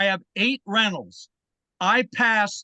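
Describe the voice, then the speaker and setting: A raised, projected voice with a bright, sharp tone at a fairly slow pace, dry and close with no echo over a quiet background. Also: man. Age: 70s. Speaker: public commenter, former state legislator, landlord. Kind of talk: public comment at a board meeting. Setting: public board meeting.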